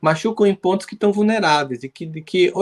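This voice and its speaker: A man speaks in a northeastern Brazilian accent with ordinary pitch variation. The sound is dry and close, with no echo. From Brazil, Northeast. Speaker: psychologist and speaker. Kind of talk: live interview.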